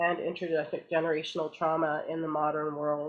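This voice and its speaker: Speaking at a moderate pace, a woman has a Canadian accent. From Canada. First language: Portuguese. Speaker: graduate student presenter. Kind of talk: conference presentation.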